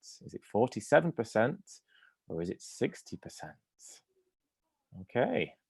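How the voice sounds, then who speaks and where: With an English accent, a man speaks at a moderate pace in a dry, close sound with no echo. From England. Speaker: university admissions representative. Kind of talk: webinar presentation.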